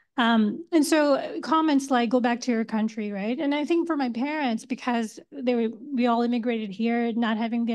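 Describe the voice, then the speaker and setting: A woman speaks at a moderate pace in a high voice with ordinary pitch variation against a quiet background. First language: Hindi, Urdu or Gujarati. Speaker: community mental health worker, panelist. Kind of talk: panel discussion.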